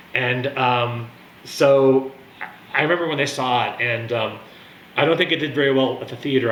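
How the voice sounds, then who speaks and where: A man at a medium pitch talks over noticeable background noise, with audible room echo. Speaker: wine and music video blogger. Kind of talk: casual monologue review. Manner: animated; fast.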